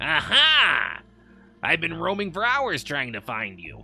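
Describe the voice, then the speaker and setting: Putting on a character voice, a man speaks fairly slowly at a high pitch. Faint music can be heard in the background. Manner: excited.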